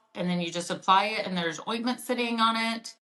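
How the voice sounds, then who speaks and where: A woman speaks with a bright, sharp tone and a slight Oklahoma accent. Her pitch varies in an ordinary way. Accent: Oklahoma twang, slight. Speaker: mom entrepreneur, product founder. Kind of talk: podcast interview. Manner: casual, many fillers and restarts.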